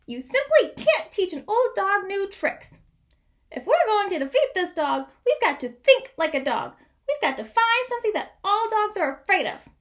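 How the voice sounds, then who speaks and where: A woman does a squeaky put-on character voice at an extremely high pitch. Her pitch swings very widely and her pace is moderate. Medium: read story. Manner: formal, lecturing.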